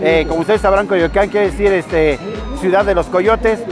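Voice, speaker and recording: Clear music plays behind a man whose voice sounds dry, with no echo. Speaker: comedic vlogger host. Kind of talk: casual vlog chat. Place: street. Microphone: lapel.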